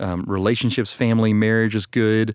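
A man's fairly low voice, a normal speaking voice with an American accent and fairly even intonation, on a very clean recording with a silent background. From Texas, Austin. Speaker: pastor. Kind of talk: casual chat. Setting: studio.

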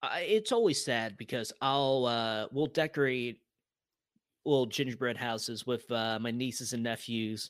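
A man has a normal speaking voice at a medium pitch, with fairly even intonation and a fairly slow pace. The recording is very clean, with a silent background. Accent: American. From US Northeast, Albany, New York. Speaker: freelance writer. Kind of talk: casual chat.

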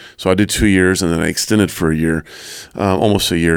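Intonation remains fairly even. Meanwhile the pace runs fairly quick. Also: man. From US Southwest, New Mexico. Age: 40s. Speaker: Navy veteran. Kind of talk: interview. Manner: halting, many fillers.

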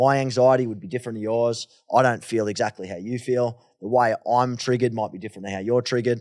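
Energetic in tone, a man with an Australian accent talks at a very fast pace and medium pitch with hardly any pauses, in a very clean recording with a silent background. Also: big swings in loudness. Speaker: mental health advocate and podcaster. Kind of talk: interview conversation. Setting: studio.

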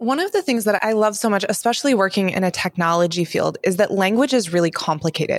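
With an energetic, enthusiastic tone, a woman speaks at medium pitch and a very fast pace with hardly any pauses, very even loudness and ordinary pitch variation, on a very clean recording with a silent background. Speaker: podcast co-host. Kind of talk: podcast hosting, interview.

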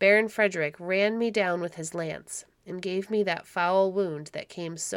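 Reading in an unforced voice.

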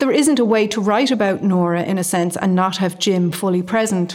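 A woman with a Dublin accent speaks at a moderate pace. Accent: Irish (Dublin). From Ireland, Dublin. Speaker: novelist. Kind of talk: casual interview.

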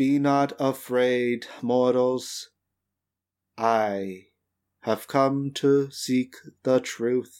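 A robotic put-on character voice speaks at a very slow pace with long, frequent pauses, on a very clean recording with a silent background. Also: man, medium pitch for a man. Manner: flat, ominous.

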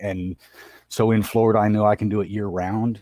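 A man speaks in a fairly low, dark, mellow voice with ordinary pitch variation. The recording is very clean, with a silent background. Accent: American. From Southern California. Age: 40s. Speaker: hardscaping business owner. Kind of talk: interview. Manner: halting.

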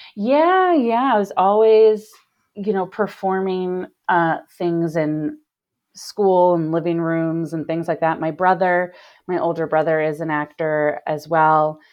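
With a plain, everyday voice and an American accent, a woman talks at a fairly slow pace, fairly low in pitch with ordinary variation. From US Midwest, Cincinnati, Ohio. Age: 30s. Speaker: recovering alcoholic, theater performer and writer. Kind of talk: interview, personal testimony.

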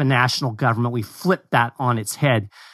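A man with a Kentucky accent is heard in a dry, close recording with no echo and a quiet background. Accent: US Southern (Kentucky). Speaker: communications director of a constitutional advocacy group. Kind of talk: casual discussion.

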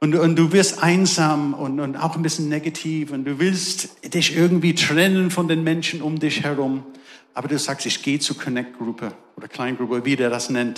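A man with an English accent at a fairly high pitch, moderate pace and ordinary pitch variation, with audible room echo and noticeable background noise. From England. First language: English (speaking German). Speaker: pastor. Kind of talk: sermon. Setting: church service with live audience.

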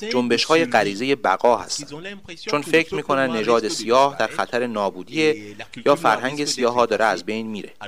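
Delivery is rather fast, and the pitch moves in a normal way. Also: man, medium pitch for a man. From Cameroon, Douala. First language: Duala (speaking Persian). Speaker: musician. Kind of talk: interview.

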